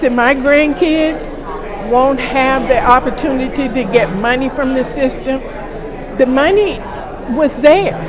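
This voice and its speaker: A woman's high voice with an American accent, at a fairly slow pace, with audible room echo and crowd noise in the background. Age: 70s. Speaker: voter at political event. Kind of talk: street interview. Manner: animated.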